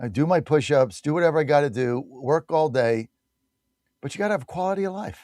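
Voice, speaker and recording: The speaker talks at a fairly quick pace with lively intonation. The sound is dry and close, with no echo. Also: man. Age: 60s. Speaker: radio talk show host. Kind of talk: live ad read and call-in radio. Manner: animated.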